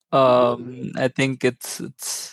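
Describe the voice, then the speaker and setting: A man with a Tamil accent, recorded with a dry, close sound with no echo. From India, Chennai. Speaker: business analyst. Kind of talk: casual interview.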